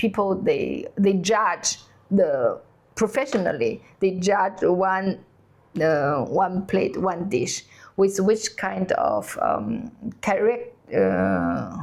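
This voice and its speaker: On a very clean recording with a silent background, a woman talks at a very slow pace. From China. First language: Chinese. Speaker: cooking channel host. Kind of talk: casual chat. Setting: on holiday trip in Denmark. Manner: halting, many fillers.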